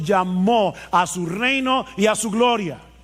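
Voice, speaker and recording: A man with a high pitch talks at a very slow pace, using ordinary pitch variation. There is noticeable background noise. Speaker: pastor. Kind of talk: sermon.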